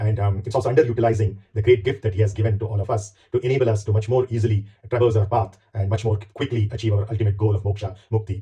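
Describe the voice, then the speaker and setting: A man speaks very fast in a fairly low, somewhat breathy voice with monotone, flat intonation. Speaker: spiritual commentator. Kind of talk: monologue introduction. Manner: hesitant fillers.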